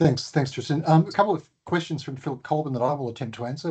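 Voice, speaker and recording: With an Australian accent, a man speaks in a somewhat breathy voice with a dark, mellow tone and ordinary pitch variation. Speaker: transport agency CEO hosting webinar. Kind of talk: webinar Q&A.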